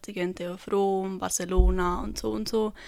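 A woman speaks with a central Swiss accent in a very clean recording with a silent background. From Switzerland, canton Obwalden. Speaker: dance student. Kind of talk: interview.

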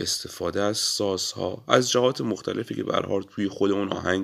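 A man with a plain, everyday voice, fairly low in pitch with ordinary pitch variation, speaks at a moderate pace. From Iran, Abadan (Khuzestan). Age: 20s. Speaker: podcast host, musician. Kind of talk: solo podcast monologue.

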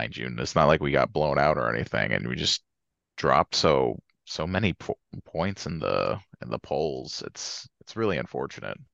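With an American accent, a man talks at a very deep, low pitch and a moderate pace, his voice showing vocal fry. His intonation is lively, his loudness swings a lot, and the sound is dry and close with no echo. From Georgia, later northern US. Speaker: sports podcast co-host. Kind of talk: casual chat.

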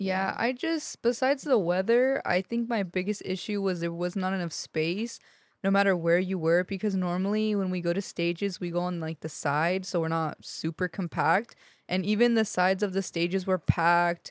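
In a very clean recording with a silent background and a dry, close sound with no echo, a woman with an ordinary speaking voice talks at a moderate pace and medium pitch, with ordinary pitch variation. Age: 20s. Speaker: podcast guest, festival-goer. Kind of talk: casual chat.

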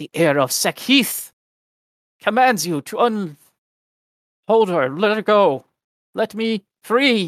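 Doing a put-on character voice, a man speaks high and at a fairly slow pace with lively intonation and long, frequent pauses, with hissing in the recording.

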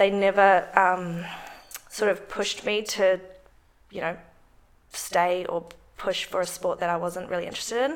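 Speaking in a New Zealand accent at a moderate pace, a woman uses medium pitch with ordinary variation and long, frequent pauses. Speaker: strength coach. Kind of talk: casual interview.

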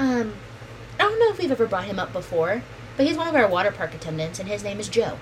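A woman at a very fast pace over noticeable background noise. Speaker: podcast co-host. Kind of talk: casual chat. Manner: joking, swearing.

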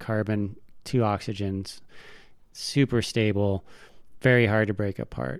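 On a very clean recording with a silent background, a man speaks at a fairly low pitch and a fairly slow pace, with ordinary pitch variation and long, frequent pauses. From US Pacific Northwest, Tacoma, Washington. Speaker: molecular biologist. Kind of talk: casual interview. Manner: halting.

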